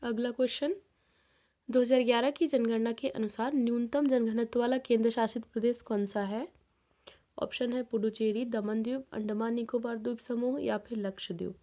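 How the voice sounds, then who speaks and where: A woman's fairly high-pitched voice with a dark, mellow tone, a fairly slow pace and fairly even intonation. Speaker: sociology exam-prep teacher. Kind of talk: tutorial.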